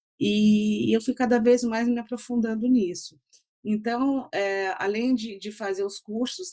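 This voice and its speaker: A woman is speaking. Her pace is fairly slow. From Brazil, São Paulo city, raised in interior São Paulo. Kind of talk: interview conversation. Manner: halting, many fillers and repetitions.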